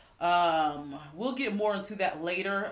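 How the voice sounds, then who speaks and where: A woman's bright, sharp voice at a medium pitch, fairly slow, with audible room echo. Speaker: tarot reader. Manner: casual, chatty.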